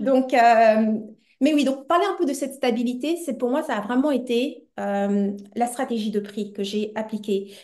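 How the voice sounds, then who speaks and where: A woman with a high pitch and a dark, mellow tone speaks at a fairly slow pace. Her pitch varies in an ordinary way. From Belgium, Brussels. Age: 40s. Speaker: entrepreneur and business coach. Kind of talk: interview conversation. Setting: podcast.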